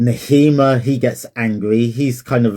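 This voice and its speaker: A man speaks in a dark, mellow tone with fairly even intonation. The recording is very clean, with a silent background. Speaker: Bible reflection vlogger. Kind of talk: casual spoken Bible reflection. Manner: slow, staccato.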